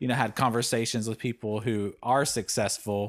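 This is a man with a normal speaking voice at a medium pitch. The recording is very clean and the background silent. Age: 40s. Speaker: podcast co-host. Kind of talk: casual chat.

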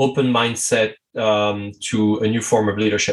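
Speaking with a French accent, a man keeps to a moderate pace. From France. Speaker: strategy consultant and coach. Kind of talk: interview conversation.

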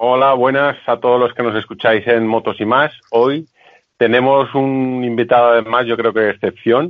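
At a moderate pace, a man talks in a monotone, flat intonation with very even loudness. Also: medium pitch for a man. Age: 30s. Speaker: podcast host. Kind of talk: casual chat.

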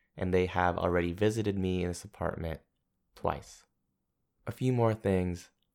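With an American accent and a very deep, low pitch, a man talks at a moderate pace with long, frequent pauses on a very clean recording with a silent background. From San Francisco, US. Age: 20s. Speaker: podcast host and educator. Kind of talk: solo podcast monologue. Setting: home apartment. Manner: casual, upbeat.

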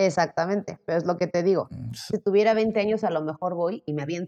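A woman with an unremarkable speaking voice and a fairly low pitch, talking fairly quickly in a dry, close sound with no echo. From Mexico, Zacatecas. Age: 20s. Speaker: model and social media creator. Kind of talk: casual interview.

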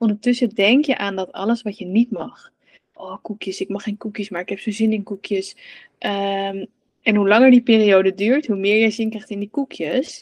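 With an unremarkable speaking voice, a woman talks at a moderate pace in a medium pitch with ordinary pitch variation, the sound dry and close with no echo. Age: 30s. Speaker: coach for mothers on relationship with food. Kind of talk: casual interview chat.

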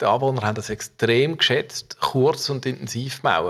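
The delivery moves at a moderate pace. Its intonation stays fairly even. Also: man. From Basel region, Switzerland (Muttenz). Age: 50s. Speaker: civil engineer and rail project manager. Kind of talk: interview. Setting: office.

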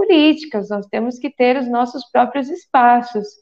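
At a fairly slow pace, a woman speaks with a high pitch. Her pitch variation is ordinary. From Guarulhos, São Paulo, Brazil. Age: 30s. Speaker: dressmaker and activist. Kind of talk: casual panel discussion.

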